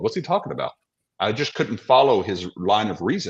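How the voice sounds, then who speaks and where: Fairly quick delivery with vocal fry and very wide pitch swings. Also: man. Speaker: theology podcaster and debater. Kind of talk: casual debate review discussion. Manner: fast.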